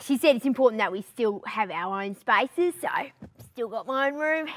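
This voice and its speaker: Putting on a character voice, a woman speaks at a moderate pace with a high pitch and lively intonation. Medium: character comedy web series. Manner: excited, loud.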